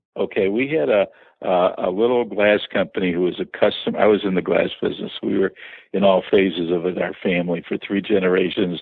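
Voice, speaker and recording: In a Chicago accent, a man talks at a fairly quick pace. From Chicago area. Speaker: business owner. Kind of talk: interview.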